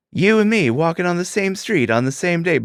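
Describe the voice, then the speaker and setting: A man uses a put-on character voice at a high pitch, moving at a fairly quick pace. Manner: weird, exaggerated, pickup-line delivery.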